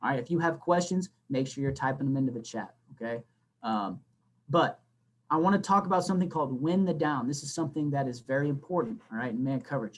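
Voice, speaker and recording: A man talks at a very fast pace, fairly high in pitch. His intonation is lively. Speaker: flag football coach. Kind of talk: coaching talk to online audience. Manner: animated.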